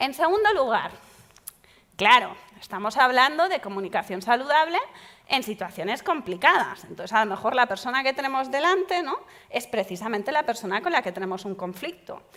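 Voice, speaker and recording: A woman talks with a high pitch and an animated tone. Her pitch swings very widely. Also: fairly quick pace. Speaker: psychologist leading a workshop. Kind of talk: workshop talk.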